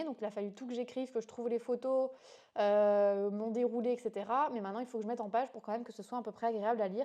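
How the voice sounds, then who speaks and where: A woman talks at a very fast pace in a high pitch. Her tone is dark and mellow. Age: 30s. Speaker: freelance entrepreneur vlogger. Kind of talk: vlog monologue. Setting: home office. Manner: casual, hesitant with fillers.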